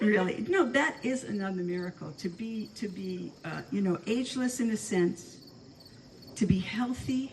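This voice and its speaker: A woman with an American accent and lively intonation at a moderate pace, over noticeable background noise. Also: medium pitch for a woman. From New York City, the Bronx. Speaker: former community member speaking at anniversary gathering. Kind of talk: informal speech to a gathering. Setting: room with live audience. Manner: halting, with many repeated words.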